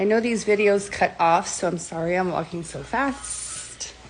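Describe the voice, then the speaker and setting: Over noticeable background noise, a woman with an American accent speaks at a fairly slow pace. Her pitch is medium and varies in an ordinary way. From Orlando, Florida (Bay Hill). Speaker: real estate agent. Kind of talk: live walk-through tour. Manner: casual, chatty.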